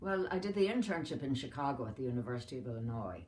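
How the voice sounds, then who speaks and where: A woman with an Irish accent and a very deep, low voice talks at a fairly quick pace amid audible room echo. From Ireland. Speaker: retired doctor. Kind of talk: family interview. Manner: halting.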